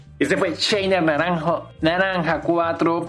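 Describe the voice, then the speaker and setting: Noticeable background noise is heard along with audible room echo. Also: man. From Venezuela. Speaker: podcast host and cultural journalist. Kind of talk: interview. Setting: online call.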